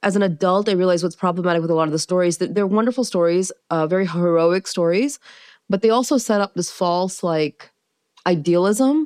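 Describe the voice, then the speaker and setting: A woman with an American accent uses a normal speaking voice, fairly low in pitch with ordinary pitch variation. The sound is dry and close with no echo, over a quiet background. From US, small-town America, later Maryland. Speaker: civil rights attorney. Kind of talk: casual interview.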